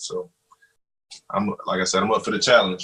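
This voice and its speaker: A man talks with a Mississippi accent. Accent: Mississippi Southern US. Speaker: web TV show co-host. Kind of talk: casual podcast chat.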